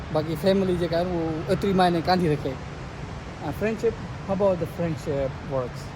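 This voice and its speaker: A man speaks in a Sindhi accent with a high pitch. Noticeable background noise runs behind him. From Pakistan. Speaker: street interviewer. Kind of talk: casual interview.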